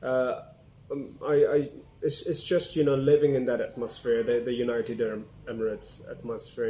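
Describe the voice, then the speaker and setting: Speaking at a fairly quick pace, a man has a medium-pitched voice with a dark, mellow tone. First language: Urdu. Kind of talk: interview answer.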